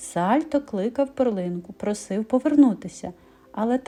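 With lively intonation, the voice reads aloud in an unforced way.

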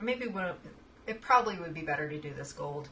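Loud background noise surrounds a woman speaking with lively intonation. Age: 40s. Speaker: makeup youtuber and fine artist; makeup youtuber. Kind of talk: makeup tutorial. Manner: animated. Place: home room. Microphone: webcam.

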